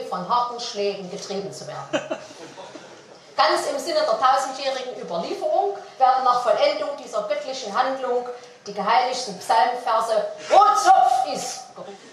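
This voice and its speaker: The speech moves at a moderate pace with very wide pitch swings and big swings in loudness, over noticeable background noise. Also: woman, high pitch for a woman. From Saxony. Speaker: cabaret artist. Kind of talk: satirical cabaret monologue.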